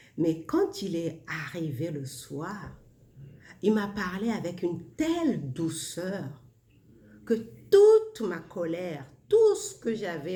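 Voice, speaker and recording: Audible room echo surrounds a woman speaking at a very slow pace. Her pitch variation is ordinary, and she leaves long, frequent pauses. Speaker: self-help vlogger. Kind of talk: casual monologue. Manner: soft-spoken.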